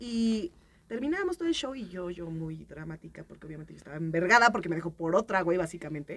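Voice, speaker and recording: An unremarkable speaking voice from a woman, lively intonation, big swings in loudness and a fairly quick pace. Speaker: podcast panelist. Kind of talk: casual chat.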